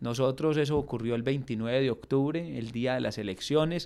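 A normal speaking voice from a man, at medium pitch with ordinary pitch variation and a fairly slow pace, on a very clean recording with a silent background. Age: 20s. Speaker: mayor. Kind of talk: radio interview. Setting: radio studio.

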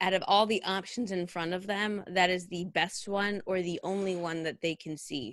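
The speaker, with a West Coast US accent, moves at a fairly slow pace. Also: woman, quiet background. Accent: General American (West Coast). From Northern California. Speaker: costume designer. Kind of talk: interview.

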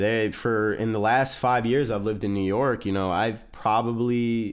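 On a very clean recording with a silent background, a man with a Midwestern American accent speaks at a moderate pace in a fairly low pitch, with ordinary pitch variation. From US Midwest, small-town Ohio. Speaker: chef. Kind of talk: casual chat. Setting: studio. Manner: talkative.

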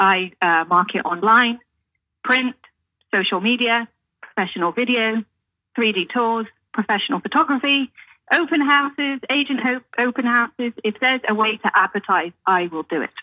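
With a British accent, a woman speaks at a fairly high pitch. Her intonation is lively. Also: moderate pace. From UK. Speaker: realtor. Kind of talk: radio interview.

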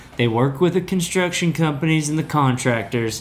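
Ordinary pitch variation from a man with an American accent. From US South. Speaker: guest. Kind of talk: casual chat. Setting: studio.

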